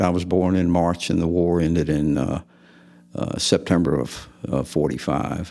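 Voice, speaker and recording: Over background music, a man with a very deep, low voice speaks at a fairly slow pace with fairly even intonation. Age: 70s. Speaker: retired military and commercial pilot. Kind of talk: interview. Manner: halting, many filler words.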